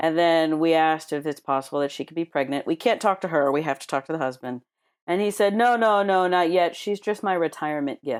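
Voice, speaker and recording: A woman with a normal speaking voice talks at a fairly quick pace in a fairly low pitch, on a very clean recording with a silent background. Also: ordinary pitch variation. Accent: American. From United States. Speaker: ER and trauma nurse. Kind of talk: interview storytelling.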